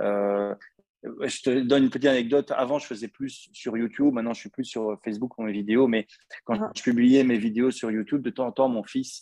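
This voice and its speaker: With a slight Belgian accent, a man speaks at a moderate pace in a dry, close recording with no echo. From Belgium. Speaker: podcast host. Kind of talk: casual interview.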